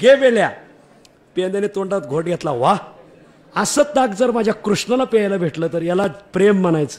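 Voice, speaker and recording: His voice sits high for a man. The rise and fall of his pitch is ordinary. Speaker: kirtan preacher. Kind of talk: kirtan sermon with storytelling.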